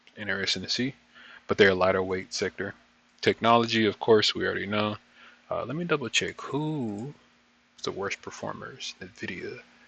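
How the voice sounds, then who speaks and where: Long, frequent pauses break up a man's speech, heard with a dry, close sound and no echo. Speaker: market trading reviewer. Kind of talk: trading session review. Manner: fast.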